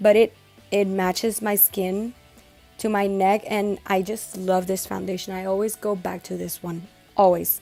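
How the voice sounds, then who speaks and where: Over music in the background, someone with a Spanish accent speaks at a fairly slow pace in a flat, monotone intonation. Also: woman, medium pitch for a woman. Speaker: makeup beauty vlogger. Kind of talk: makeup tutorial talk to camera. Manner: casual, chatty.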